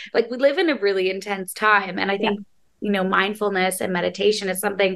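A woman with an ordinary speaking voice and ordinary pitch variation. She talks at a fairly quick pace. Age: 30s. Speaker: podcast host and TV host. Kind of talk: casual interview chat.

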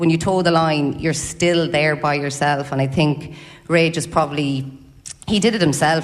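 Someone with an Irish accent speaks at a moderate pace with ordinary pitch variation. Audible room echo and noticeable background noise are present. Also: woman. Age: 40s. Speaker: athlete. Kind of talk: live interview at book launch. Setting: hotel ballroom with audience.

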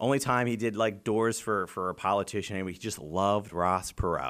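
A man with an American accent in an unremarkable speaking voice, fairly low in pitch with ordinary pitch variation, at a moderate pace, on a very clean recording with a silent background. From Pennsylvania, York County. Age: 30s. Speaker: state legislator. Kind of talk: casual interview. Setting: in person interview.

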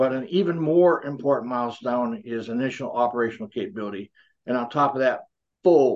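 A man talks at a very fast pace with lively intonation and a medium pitch. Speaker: former bomber pilot and defense analyst. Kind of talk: expert interview.

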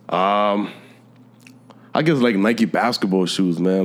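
A man speaks with a New York accent at a fairly low pitch, his pitch varying in an ordinary way. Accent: New York City. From New York City. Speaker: sneaker reseller. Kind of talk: casual chat.

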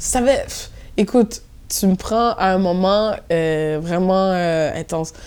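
At a very slow pace, a woman talks in a medium pitch with ordinary pitch variation. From Montréal-Nord, Quebec, Haitian family. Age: 20s. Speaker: DJ and event programmer. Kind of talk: casual interview chat. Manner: energetic.

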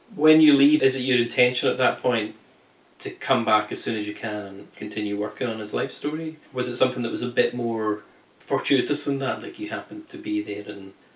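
Amid noticeable background noise, a man with an American accent talks fairly quickly at a medium pitch, with ordinary pitch variation and big swings in loudness. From New Hampshire, US. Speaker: podcast host. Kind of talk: interview; scripted outro.

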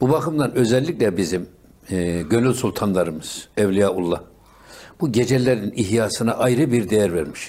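Lively intonation over a dark, mellow tone. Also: man, fairly low pitch for a man, moderate pace, very clean recording, silent background. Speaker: religious radio host. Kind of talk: religious talk show.

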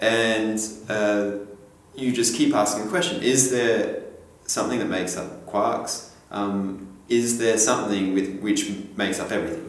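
Through noticeable background noise and audible room echo, a man with an Australian accent speaks at a fairly slow pace, his fairly low pitch showing ordinary variation. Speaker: string theory mathematician. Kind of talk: casual interview.

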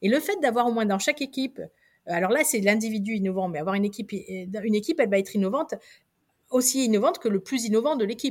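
Speech races along at a very fast pace with lively intonation. The recording is very clean, with a silent background. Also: woman. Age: 50s. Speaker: researcher and lecturer. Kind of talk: interview. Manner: halting.

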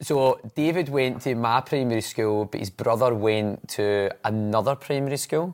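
A man with a Glasgow accent speaks at a moderate pace and medium pitch. The recording is very clean, with a silent background. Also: ordinary pitch variation. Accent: Scottish (Glasgow area). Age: 40s. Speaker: podcast host. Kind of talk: casual chat. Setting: studio.

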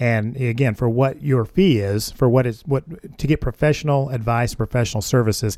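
A man with an American accent speaks in a dark, mellow tone at a medium pitch with ordinary pitch variation. He keeps a moderate pace with hardly any pauses. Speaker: realtor, guest co-host. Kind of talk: casual chat. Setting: studio.

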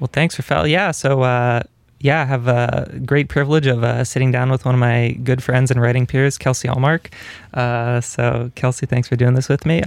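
A man's unremarkable speaking voice at medium pitch and moderate pace, with very even loudness and fairly even intonation. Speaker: graduate student interviewer. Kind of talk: interview. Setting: radio studio.

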